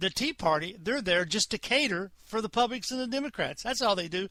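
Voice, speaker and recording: Using a raised, projected voice with a high pitch and a bright, sharp tone, a man speaks at a moderate pace with very wide pitch swings. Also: dry, close sound with no echo. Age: 60s. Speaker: talk radio host. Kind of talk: casual monologue. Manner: conversational, hesitant with many fillers.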